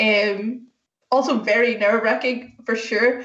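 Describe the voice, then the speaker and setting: A woman talks with a Northern Irish accent. Her voice sits fairly high in pitch. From Northern Ireland. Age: 30s. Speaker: software engineer. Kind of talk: talk to school students.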